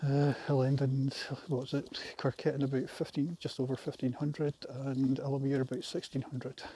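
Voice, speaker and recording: A fairly high-pitched man's voice with a Scottish accent, somewhat breathy and dark, mellow in tone, in a flat monotone at a moderate pace. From Scotland. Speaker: vlogger. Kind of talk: casual vlog monologue while walking. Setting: outdoors, walking a trail. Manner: hesitant, many fillers.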